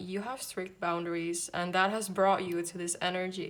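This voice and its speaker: The speaker is a woman with a non-native accent. Her medium-pitched voice stays monotone and flat. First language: not English. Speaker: tarot reader. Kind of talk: tarot reading to camera.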